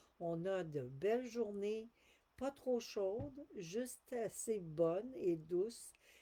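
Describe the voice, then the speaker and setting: In a Quebec accent, a woman speaks at a medium pitch with lively intonation. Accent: Québécois French. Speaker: spiritual channeler. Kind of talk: live stream talk. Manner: halting.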